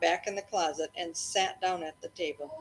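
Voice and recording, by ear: Her voice sits fairly low for a woman, with a fairly bright tone and a slightly husky edge, moving at a moderate pace.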